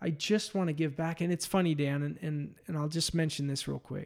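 The pace is fairly quick in a plain, everyday voice. The recording is very clean with a silent background. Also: man. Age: 30s. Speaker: podcast host. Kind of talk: casual chat.

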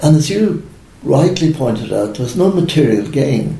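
Speech comes at a moderate pace in a Dublin accent. Noticeable background noise and audible room echo fill the recording. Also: man. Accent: Irish (Dublin). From Ireland (Dublin). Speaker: retired Olympic runner and businessman. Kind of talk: interview.

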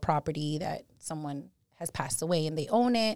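In a New York accent, a woman talks at a fairly quick pace and a fairly low pitch, with an animated tone. The recording is very clean, the background silent. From New York City (Bronx). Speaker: title insurance agent. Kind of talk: interview explaining her field.

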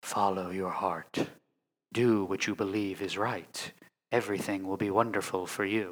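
Using a raspy put-on character voice with a soothing tone, a man speaks at a moderate pace with fairly low pitch and monotone, flat intonation, in a very clean recording with a silent background. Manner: eerily soothing, creepy.

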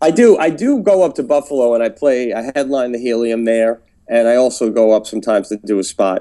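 With an American accent, a man speaks in a dark, mellow tone with ordinary pitch variation. He leaves hardly any pauses. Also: medium pitch for a man, fairly quick pace. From New York City. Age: 40s. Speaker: comedian. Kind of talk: casual interview chat.

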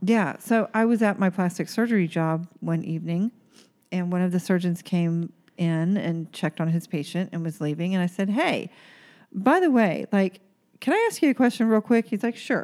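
The woman has an ordinary speaking voice. She talks at a moderate pace with ordinary pitch variation. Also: medium pitch for a woman. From Oklahoma. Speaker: aesthetic nurse, podcast host. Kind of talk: casual chat.

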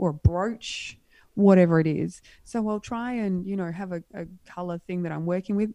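A woman at medium pitch with an Australian accent, dark mellow tone, fairly even intonation, moderate pace and big swings in loudness, on a very clean recording with a silent background. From Western Australia, rural wheatbelt. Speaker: wardrobe stylist and art model. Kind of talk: casual chat.

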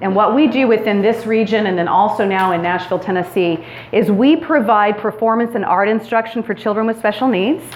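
Against noticeable background noise and audible room echo, a woman with an American accent talks at a fairly quick pace and a fairly high pitch. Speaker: women's retreat speaker. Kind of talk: sermon-style talk to a women's retreat. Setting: stage with audience and PA system. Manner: loud; energetic.

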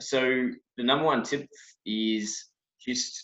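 This speaker talks at a fairly slow pace in an Australian accent. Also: man. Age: 30s. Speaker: brewer. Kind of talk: casual chat. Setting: video call.

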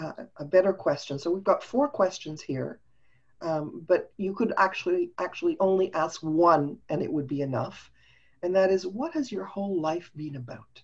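At a moderate pace, a woman speaks somewhat breathily at medium pitch. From Montreal, Canada. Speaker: business coach and speaker. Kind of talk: casual interview chat. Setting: video call.

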